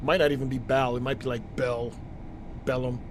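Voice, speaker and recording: A man with an American accent talks at a fairly quick pace in a monotone, flat intonation. Audible room echo and noticeable background noise surround his voice. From US Northeast, New York City. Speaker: gaming streamer. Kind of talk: live gameplay commentary. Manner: casual, conversational.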